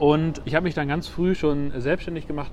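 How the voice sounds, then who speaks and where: Against noticeable background noise, a man talks at a very fast pace and a fairly high pitch. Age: 30s. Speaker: watch company founder. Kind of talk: interview. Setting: outdoors on a bench at the harbour.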